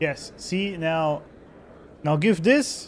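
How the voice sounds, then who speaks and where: A man speaks with a German accent. His pitch varies in an ordinary way. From Germany. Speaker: gaming streamer. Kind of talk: casual gameplay commentary.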